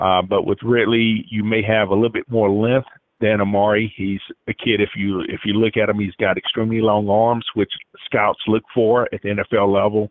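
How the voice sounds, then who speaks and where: This man has a Southern US accent and a fairly low pitch. He speaks at a moderate pace in a monotone, flat intonation. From Atmore, Alabama. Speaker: recruiting insider. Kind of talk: call-in sports talk. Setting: phone call.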